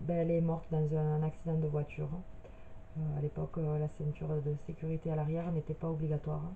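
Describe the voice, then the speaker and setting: A woman's very deep, low voice with monotone, flat intonation over noticeable background noise. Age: 30s. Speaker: medium. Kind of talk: personal video introduction. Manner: hesitant, many filler sounds.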